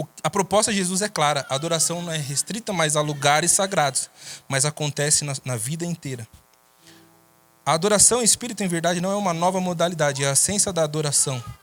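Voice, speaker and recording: A man talks very fast in a fairly high voice with ordinary pitch variation. Music plays in the background. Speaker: preacher. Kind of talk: sermon.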